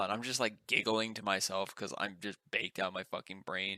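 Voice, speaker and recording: A man speaks at a moderate pace in a fairly low voice, with a normal speaking voice. The sound is dry and close with no echo, and his intonation stays fairly even. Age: 30s. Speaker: podcast co-host. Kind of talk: casual chat.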